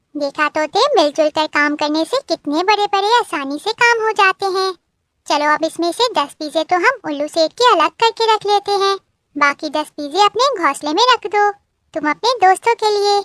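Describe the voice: In a cartoonish character voice pitched extremely high, a woman speaks at a moderate pace with a dry, close sound and no echo.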